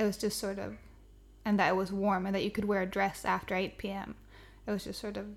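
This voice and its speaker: With vocal fry, a woman speaks at a fairly quick pace and medium pitch. Her intonation is monotone and flat. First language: Swedish. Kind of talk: casual chat.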